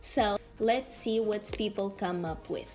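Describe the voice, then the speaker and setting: Speaking fairly slowly, the woman has a non-native accent. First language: not English. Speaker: art content creator. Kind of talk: tutorial. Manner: casual, halting.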